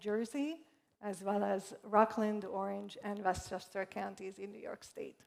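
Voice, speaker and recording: A woman with a Hungarian accent, medium in pitch, speaking at a fairly slow pace. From Hungary. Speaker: real estate executive. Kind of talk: panel discussion.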